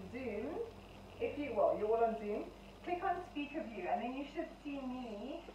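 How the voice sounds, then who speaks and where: A woman's high voice at a fairly slow pace, with audible room echo and light background noise. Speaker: fitness instructor. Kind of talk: exercise class instruction. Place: home room. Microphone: camera far.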